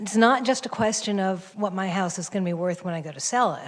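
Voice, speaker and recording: An ordinary speaking voice from a woman, medium in pitch, with ordinary pitch variation at a moderate pace. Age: 60s. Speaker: public commenter, homeowner. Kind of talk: public comment at a council meeting. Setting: city planning commission meeting.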